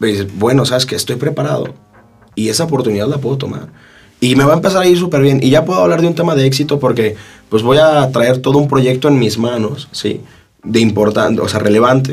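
Audible room echo surrounds a man speaking at a fairly quick pace. His voice is somewhat breathy, with a medium pitch and ordinary pitch variation. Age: 20s. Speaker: lawyer and young politician. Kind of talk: casual interview. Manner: hesitant, many fillers and repetitions.

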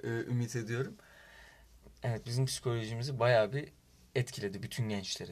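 A man at a medium pitch talks at a fairly quick pace with long, frequent pauses, fairly even intonation and a somewhat breathy voice. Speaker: student club vice president. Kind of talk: casual chat.

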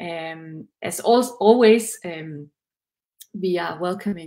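Speaking with a Danish accent, a woman uses ordinary pitch variation. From Denmark. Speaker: livestream co-host. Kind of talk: interview. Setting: video call.

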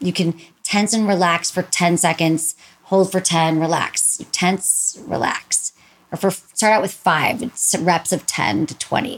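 A woman with an American accent speaks in a plain, everyday voice at a fairly low pitch. Her pace is fairly slow, with ordinary pitch variation. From Michigan. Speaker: sex therapist and podcast host. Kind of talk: casual interview chat.

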